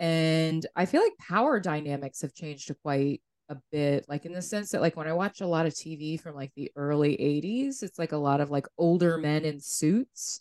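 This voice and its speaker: The sound is dry and close with no echo as a woman talks at a moderate pace in a very deep, low pitch with ordinary pitch variation. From New Hampshire. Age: 40s. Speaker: podcast co-host. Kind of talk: casual chat.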